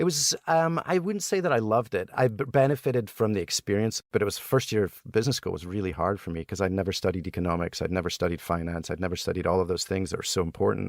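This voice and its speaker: A man with a Scottish accent, fairly low in pitch, talking very fast with hardly any pauses and lively intonation, on a very clean recording with a silent background. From Scotland. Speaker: entrepreneur, board game inventor. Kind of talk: interview answer.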